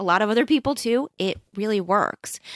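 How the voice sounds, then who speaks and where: A woman has an unremarkable speaking voice at fairly high pitch. Her pitch varies in an ordinary way, and the sound is dry and close with no echo. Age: 40s. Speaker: interior designer. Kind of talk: casual interview chat.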